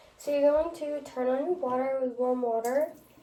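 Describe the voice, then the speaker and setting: Talking at a fairly quick pace, a woman uses a high-pitched voice against noticeable background noise. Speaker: nursing student. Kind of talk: skills demonstration. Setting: at home. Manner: whispering.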